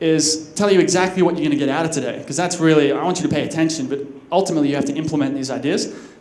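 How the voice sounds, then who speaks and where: A man with an Australian accent and a fairly high pitch at a very fast pace, amid audible room echo and noticeable background noise. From Australia, Sydney. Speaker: conference speaker. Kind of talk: conference talk. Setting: stage with audience. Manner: casual, with fillers and restarts.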